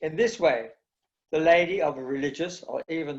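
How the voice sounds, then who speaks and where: A man speaks with a London accent. His pitch sits fairly high. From East End of London. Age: 80s+. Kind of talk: talk. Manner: passionate, enthusiastic.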